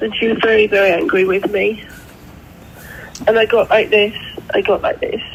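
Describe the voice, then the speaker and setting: Amid noticeable background noise, the speaker moves at a moderate pace with ordinary pitch variation and long, frequent pauses. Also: woman. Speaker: client in a health consult. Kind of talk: emotional consultation. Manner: halting.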